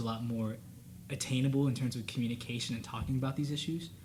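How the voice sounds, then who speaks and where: At a very fast pace, the voice sounds somewhat breathy with fairly even intonation. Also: man. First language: Spanish. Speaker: college student panelist. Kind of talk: casual panel discussion.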